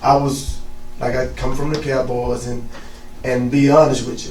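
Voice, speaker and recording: A man's medium-pitched voice in a Southern US accent, monotone and flat, with audible room echo and noticeable background noise. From Mississippi. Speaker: youth football coach. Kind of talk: interview.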